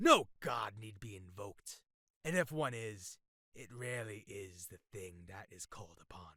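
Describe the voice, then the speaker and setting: A man puts on a growling character voice. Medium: read story. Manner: commanding, contemptuous.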